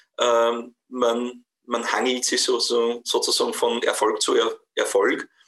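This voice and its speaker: This man's loudness is very even. He talks very slowly. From Austria, Wels, Upper Austria. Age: 50s. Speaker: businessman and local politician. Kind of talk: interview. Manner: hesitant, many fillers.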